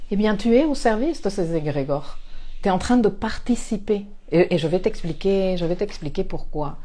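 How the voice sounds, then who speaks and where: A woman speaks with a non-native accent at a medium pitch, her intonation lively and her tone dark and mellow. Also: moderate pace. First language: not French (speaking French). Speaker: astrologer and life coach. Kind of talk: spiritual talk to camera. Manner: hesitant, many fillers and repetitions.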